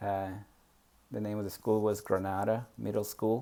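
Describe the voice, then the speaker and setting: Dark and mellow in tone, a man with a Spanish accent talks at a fairly low pitch. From Peru, moved to US at 14. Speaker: memoir vlogger. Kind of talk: personal storytelling monologue. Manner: halting, many fillers.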